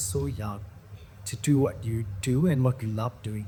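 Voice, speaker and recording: The voice is somewhat breathy, with a dark, mellow tone. The intonation is lively and the pace moderate. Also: man. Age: 60s. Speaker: actor. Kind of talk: casual chat.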